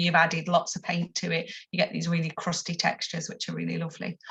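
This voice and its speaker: Her voice bright and sharp in tone, a woman speaks at a fairly low pitch with vocal fry. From northern England, Stoke-on-Trent. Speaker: textile artist and teacher. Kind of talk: presentation talk with slides. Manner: hesitant, many ums.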